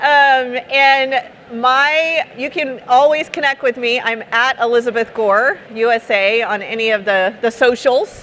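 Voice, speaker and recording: Noticeable background noise sits behind a woman with a Texan accent. Her high voice moves at a fairly slow pace with lively intonation. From Texas. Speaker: startup founder and speaker. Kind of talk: conference talk. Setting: stage with audience. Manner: casual, conversational.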